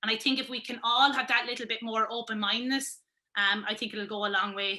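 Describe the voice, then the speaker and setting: A woman with a Wexford Irish accent, fairly high in pitch, with fairly even intonation at a fairly quick pace. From Wexford, Ireland. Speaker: sports pundit, former camogie player. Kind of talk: interview answer.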